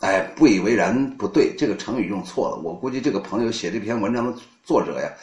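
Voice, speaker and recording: At a fairly quick pace, a man speaks at a medium pitch with very wide pitch swings. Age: 50s. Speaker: poetry reading host. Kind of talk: live-streamed literary talk. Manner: animated.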